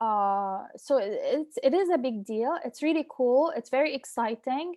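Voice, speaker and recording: Over a quiet background, a woman speaks with high pitch and a dark, mellow tone in a dry, close sound with no echo. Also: lively intonation, fairly slow pace. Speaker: university instructor. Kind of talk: online class Q&A session.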